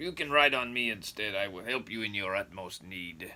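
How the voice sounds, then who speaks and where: Using a put-on character voice, a man talks at a moderate pace. His pitch is fairly low. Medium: read story.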